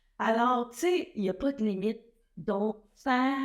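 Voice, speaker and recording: A woman talks at a very slow pace. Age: 70s. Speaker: athlete and fitness figure. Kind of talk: interview. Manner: hesitant with many fillers.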